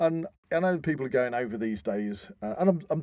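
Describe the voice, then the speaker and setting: Speaking with an English accent, a man uses a dark, mellow tone and very wide pitch swings. He moves at a fairly quick pace. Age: 50s. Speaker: podcast host. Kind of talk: casual chat. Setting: studio.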